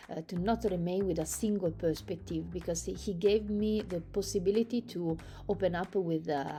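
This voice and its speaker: In an Italian accent, a woman talks at a moderate pace with a dark, mellow tone, fairly low pitch and fairly even intonation. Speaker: sports psychologist. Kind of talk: video testimonial. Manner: halting, many fillers.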